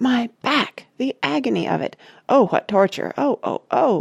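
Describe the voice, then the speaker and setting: A shrill, put-on character voice is pitched fairly high. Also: moderate pace. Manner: screeching, theatrical.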